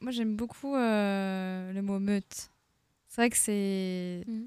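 The recording is very clean, with a silent background. A woman speaks at a medium pitch with fairly even intonation. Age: 30s. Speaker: queer association volunteer. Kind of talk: radio panel discussion.

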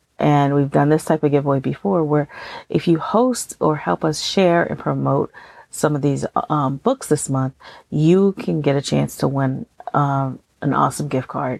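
A woman with an American accent, very deep and low in pitch, at a moderate pace with ordinary pitch variation, on a very clean, dry, close recording with a silent background and no echo. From Texas. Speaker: podcast host. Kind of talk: casual chat. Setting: recording on the road. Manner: relaxed, chatty.

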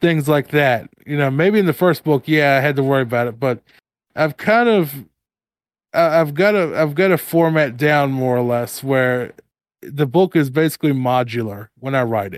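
In an ordinary speaking voice, a man talks at a moderate pace with fairly high pitch and ordinary pitch variation. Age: 30s. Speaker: horror author and podcaster. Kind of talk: casual interview chat.

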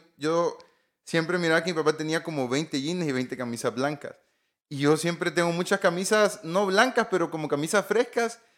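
A man's high-pitched voice at a moderate pace with ordinary pitch variation, on a very clean recording with a silent background. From Honduras, La Paz and Comayagua. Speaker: telecom engineer and entrepreneur. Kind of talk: interview.

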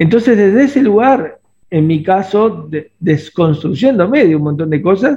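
A man at a moderate pace with lively intonation. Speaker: podcast co-host, father. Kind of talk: casual conversation. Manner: halting, many repetitions and fillers.

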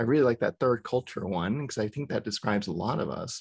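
A man's plain, everyday voice with an American accent, medium in pitch and lively in intonation, dry and close with no echo against a quiet background. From US South. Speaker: podcast host, therapist. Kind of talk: casual chat.

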